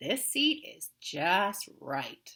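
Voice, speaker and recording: A woman does a put-on character voice at a medium pitch. Her pitch swings very widely. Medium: read story. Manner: picky, judging everything.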